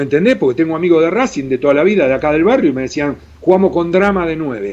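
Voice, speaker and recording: A man is speaking here. His pitch is fairly high. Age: 60s. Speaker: former goalkeeper, journalist and radio host. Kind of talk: interview. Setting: video call. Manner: animated.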